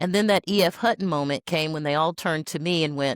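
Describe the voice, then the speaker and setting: In an unremarkable speaking voice, a woman with an American accent speaks at a fairly low pitch with ordinary pitch variation, recorded very cleanly against a silent background with a dry, close sound and no echo. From Tennessee, US South. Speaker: healthcare executive. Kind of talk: casual interview chat.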